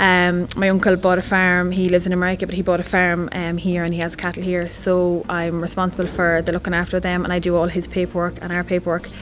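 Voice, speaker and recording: Speaking at a very fast pace with hardly any pauses, a woman with an Irish Midlands accent talks in a fairly low pitch and a flat, monotone delivery over noticeable background noise. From Ireland, County Longford. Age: 20s. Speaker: farmer. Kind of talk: interview monologue. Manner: hesitant with frequent fillers.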